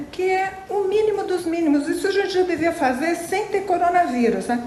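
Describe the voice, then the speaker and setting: There is audible room echo as a woman speaks at a moderate pace. Her pitch is extremely high, with ordinary variation. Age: 60s. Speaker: celebrity sending a message. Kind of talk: recorded video message. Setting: at home in quarantine.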